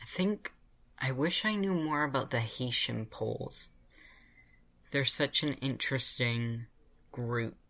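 Speaking at a fairly slow pace in an American accent, a man with a bright, sharp tone is captured in a very clean recording with a silent background. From US. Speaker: podcast co-host. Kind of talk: casual chat; scripted narration.

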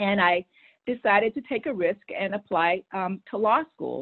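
This is an unremarkable speaking voice with an American accent, moving at a moderate pace with ordinary pitch variation. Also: woman. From Texas. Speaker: public affairs executive. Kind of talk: interview.

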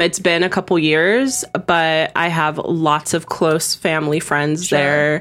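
A woman with an unremarkable speaking voice talks at a fairly slow pace with hardly any pauses. Her pitch is fairly low, her intonation fairly even, and her loudness very even. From San Diego, California. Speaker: esthetician. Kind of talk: casual chat.

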